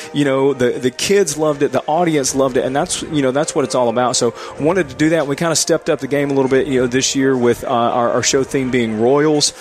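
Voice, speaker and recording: A man talks at a very fast pace with hardly any pauses, his fairly high pitch held in fairly even intonation at very even loudness, over noticeable background noise. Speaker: high school band director. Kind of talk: casual halftime interview. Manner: warm, chatty.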